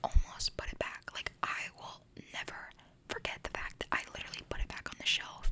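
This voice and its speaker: Whispering fairly quickly, a woman can be heard over noticeable background noise. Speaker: ASMR creator. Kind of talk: ASMR whisper ramble. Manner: whispered.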